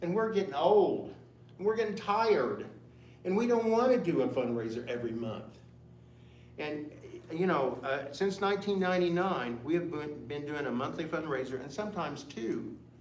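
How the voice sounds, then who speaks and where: Over noticeable background noise and audible room echo, a man speaks with fairly high pitch and very wide pitch swings. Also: moderate pace. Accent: American. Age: 70s. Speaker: community center board member. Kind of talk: public comment at council meeting. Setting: town council meeting.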